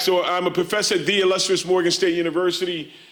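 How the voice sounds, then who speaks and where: Loud and animated, a high-pitched man speaks at a moderate pace amid audible room echo. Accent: American. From USA. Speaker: social work professor. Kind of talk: conference talk. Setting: stage with audience.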